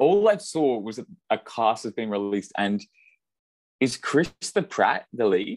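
With an Australian accent, a man speaks at a fairly slow pace and medium pitch, his voice making very wide pitch swings. Long, frequent pauses break up his speech, and the sound is dry and close with no echo. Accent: Australian, mistaken for New Zealand. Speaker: podcast co-host, physics graduate student. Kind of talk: casual chat. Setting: online call.

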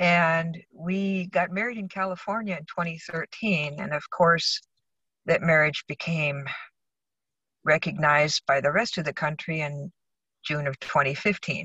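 A plain, everyday voice from a woman with an American accent, fairly low in pitch, fairly slow, with ordinary pitch variation. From Arizona, US West. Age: 60s. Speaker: electrical inspector. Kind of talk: interview. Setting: in a car, remote call.

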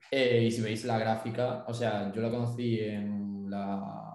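The delivery is monotone, with flat intonation at a fairly slow pace. Audible room echo surrounds the voice. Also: man. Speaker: forex and crypto trader, student. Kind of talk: casual chat.

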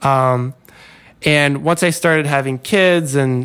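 Using a plain, everyday voice, a man with an American accent speaks at a fairly high pitch and fairly slow pace with fairly even intonation. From US South. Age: 30s. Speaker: freelance designer. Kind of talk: casual chat.

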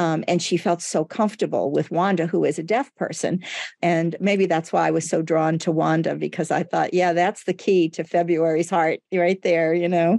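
Against a quiet background, a woman with a fairly low, dark, mellow voice and vocal fry talks with hardly any pauses at very even loudness. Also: fairly even intonation, moderate pace. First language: Portuguese. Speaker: director of a school for the deaf. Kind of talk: interview conversation.

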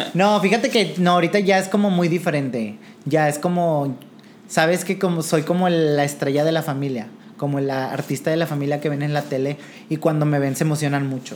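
A man with a fairly high pitch and ordinary pitch variation speaks at a fairly quick pace over noticeable background noise. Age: 20s. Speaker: drag performer. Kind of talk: casual interview.

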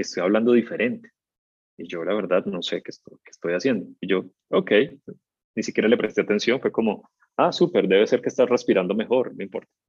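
Very fast speech from a man at medium pitch, lively intonation, and a dry, close sound with no echo. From Colombia, Cali. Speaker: voice and communication coach. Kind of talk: interview.

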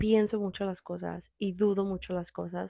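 A woman talks at a fairly slow pace in a medium pitch with a dark, mellow tone. The sound is dry and close, with no echo. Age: 20s. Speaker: podcast host. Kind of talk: casual chat.

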